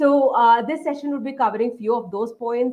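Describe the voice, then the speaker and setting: Her voice is fairly high in pitch, and this woman keeps a fairly even intonation. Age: 20s. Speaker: software engineer, invited speaker. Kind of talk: talk with slides for students. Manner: fast; frequent fillers (uh, um).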